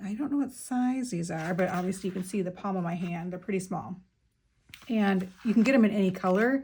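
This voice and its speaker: Speaking at a fairly quick pace, a woman has a somewhat breathy, dark and mellow voice at a medium pitch with ordinary pitch variation. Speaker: craft YouTuber. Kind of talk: casual show-and-tell. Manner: fast; chatty, many fillers.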